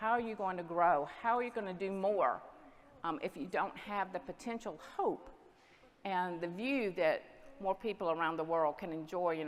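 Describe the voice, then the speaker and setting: A woman's fairly low voice in a Southern US accent, at a moderate pace with ordinary pitch variation. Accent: Southern US (Georgia). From US South, Southwest Georgia. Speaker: dairy export industry representative. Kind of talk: conference presentation.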